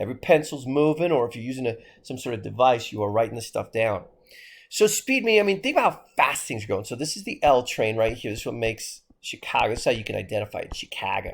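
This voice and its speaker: Very fast, animated speech from a man with an American accent, big swings in loudness, on a very clean recording with a silent background. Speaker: history teacher. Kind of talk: lecture.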